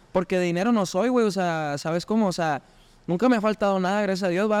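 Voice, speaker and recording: His pitch shifts in an ordinary way. The man speaks very fast. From Chihuahua, northern Mexico. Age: 30s. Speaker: musician. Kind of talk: casual chat.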